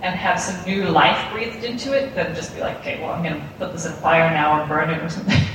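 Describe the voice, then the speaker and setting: A woman's fairly quick speech carries audible room echo, with noticeable background noise beneath it. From South Africa. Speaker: cosplayer. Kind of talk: interview. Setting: convention floor. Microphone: poor recording quality.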